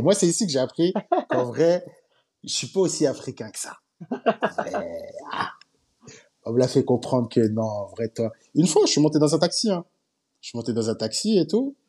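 A man's fairly high, dark and mellow voice at a moderate pace, with very wide pitch swings and long, frequent pauses. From Paris suburbs, France. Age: 20s. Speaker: telecom engineer. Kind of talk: casual chat.

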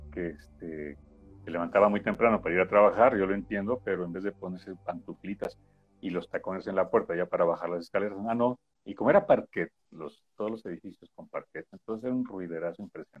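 Very fast speech from a man, with big swings in loudness. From Mexico, Puebla. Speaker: radio news broadcaster. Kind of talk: casual interview chat.

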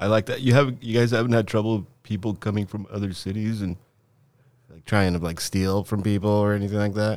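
A man speaks in a fairly low voice with a Southern Californian accent, his intonation fairly even while his loudness swings widely. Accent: Southern Californian American. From Southern California, eastern LA area (Covina), born in Lima, Peru. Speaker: infrastructure designer and show promoter. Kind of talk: casual chat. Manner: halting, many fillers and restarts.

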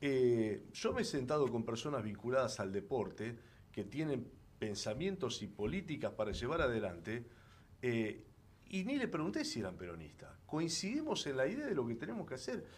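Audible room echo surrounds a man speaking at a moderate pace and medium pitch, his pitch swinging very widely. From Argentina, Rosario (Santa Fe). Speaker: senator, former journalist. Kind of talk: interview. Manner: halting, many fillers and repetitions.

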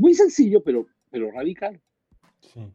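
The dark, mellow tone of a man's voice comes at a fairly slow pace in a dry, close sound with no echo. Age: 50s. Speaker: pastor. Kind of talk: testimony.

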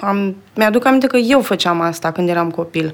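A woman talks at a moderate pace and medium pitch. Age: 30s. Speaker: video editor. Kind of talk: interview. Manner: halting.

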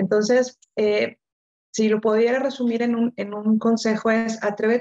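Speaking at a fairly slow pace, a woman uses a dark, mellow tone with fairly high pitch. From Mexico, Monterrey. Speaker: coach and author. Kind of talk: interview. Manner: repeats words, hesitant fillers.

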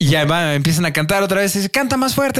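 Very wide pitch swings from a man, the sound dry and close with no echo. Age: 20s. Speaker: podcast host. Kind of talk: casual chat.

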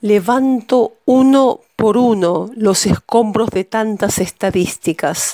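In a dry, close recording with no echo, a woman with a fairly high pitch and a dark, mellow tone speaks at a very slow pace, with ordinary pitch variation and hardly any pauses. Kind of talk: poetry reading, spoken word. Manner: intimate, measured, grave.

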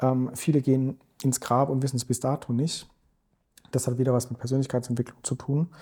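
A man of medium pitch speaks in a dark, mellow, somewhat breathy tone with monotone, flat intonation, a fairly quick pace and long, frequent pauses, recorded very cleanly against a silent background. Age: 40s. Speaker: investment strategist. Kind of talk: podcast interview. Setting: office.

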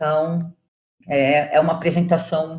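Somewhat breathy and fairly low in pitch, the voice belongs to a woman. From São Paulo, Brazil. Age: 40s. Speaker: journalist and curator. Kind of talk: interview.

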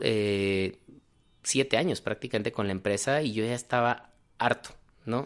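With ordinary pitch variation, a man delivers his words fairly slowly. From Mexico, Guadalajara. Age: 30s. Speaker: physician. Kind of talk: interview conversation.

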